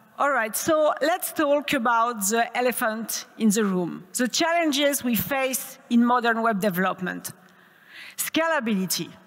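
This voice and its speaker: A woman with a French accent speaks at a high pitch. She talks fairly slowly with lively intonation. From France. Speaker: tech conference speaker. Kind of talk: conference talk. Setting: stage with audience.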